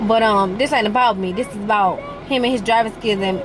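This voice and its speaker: A woman talks at a fairly quick pace. The room echoes audibly, and background noise is noticeable. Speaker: vlogger. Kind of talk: casual vlog talk. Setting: in a car. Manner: stuttering; animated.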